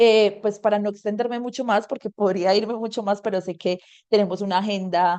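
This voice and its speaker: This woman's medium-pitched voice holds a fairly even intonation. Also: quiet background. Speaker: environmental activist. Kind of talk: webinar talk. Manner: fast.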